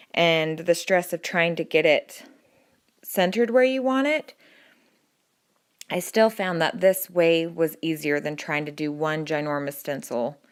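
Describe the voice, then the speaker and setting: A woman speaks at a fairly low pitch and a fairly slow pace, with lively intonation and long, frequent pauses. The recording is very clean, with a silent background. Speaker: crafter. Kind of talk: DIY tutorial voiceover.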